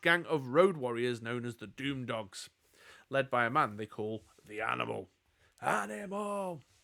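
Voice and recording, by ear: The voice reads aloud in a natural way.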